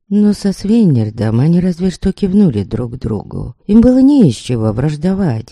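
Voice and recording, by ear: This is reading aloud in a natural voice.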